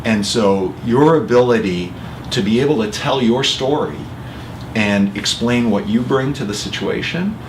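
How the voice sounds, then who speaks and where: A man speaks at a moderate pace and medium pitch with ordinary pitch variation. Noticeable background noise and audible room echo surround his voice. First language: Italian. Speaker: award winner and charity executive. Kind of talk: interview. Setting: office.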